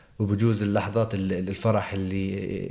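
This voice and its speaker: A man speaks in a monotone with flat intonation. His pitch is fairly low. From Jerusalem, Palestine. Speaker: television field reporter. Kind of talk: interview. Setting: office of a TV channel in Jerusalem.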